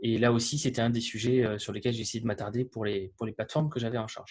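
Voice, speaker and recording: Somewhat breathy, fairly quick speech with a Toulouse accent against a quiet background. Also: man. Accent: southern French (Toulouse). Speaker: developer advocate. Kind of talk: webinar presentation. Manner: hesitant, many fillers.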